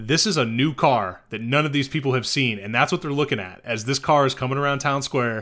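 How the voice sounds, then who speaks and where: Speaking at a fairly quick pace with an American accent, this is an unremarkable speaking voice with ordinary pitch variation, captured in a very clean recording with a silent background. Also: man. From US small towns. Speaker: podcast co-host discussing films. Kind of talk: casual chat.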